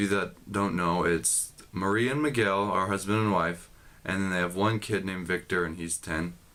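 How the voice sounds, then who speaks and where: The voice has a bright, sharp tone and an American accent. Its pitch varies in an ordinary way. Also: man. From United States. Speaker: exchange student vlogger. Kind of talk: casual video blog. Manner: casual, filler-heavy.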